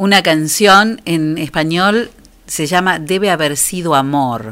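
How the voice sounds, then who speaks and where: A woman speaks with a Rioplatense accent. Her pitch swings very widely. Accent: Argentine Rioplatense Spanish. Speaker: radio host. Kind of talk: radio show, casual chat and announcements.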